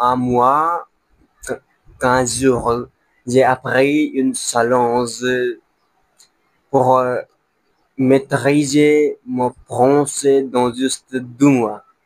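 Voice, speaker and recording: A man's voice in a monotone, flat intonation. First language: not French (learner) (speaking French). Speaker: language learner vlogger. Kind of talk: casual vlog monologue. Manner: halting, with false starts.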